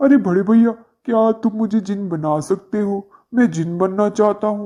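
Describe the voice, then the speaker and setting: In a cartoonish character voice, the speaker talks at a moderate pace with a fairly high pitch. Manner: loud, impulsive, brash.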